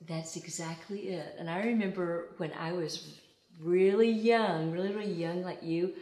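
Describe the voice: Speaking at a fairly slow pace, a woman has a fairly low pitch, a slightly mellow tone and ordinary pitch variation.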